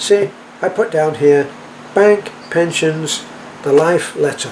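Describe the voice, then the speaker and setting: A man's fairly high pitch at a fairly slow pace, with noticeable background noise. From England. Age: 80s+. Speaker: expat vlogger. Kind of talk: casual vlog talk. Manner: halting, with repetitions and fillers.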